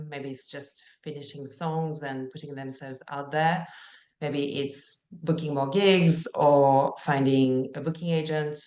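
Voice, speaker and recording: Speaking with a French accent, a woman uses a very deep, low pitch. Her pace is fairly slow and her intonation fairly even. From France. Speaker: life and career coach for musicians. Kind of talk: live coaching session.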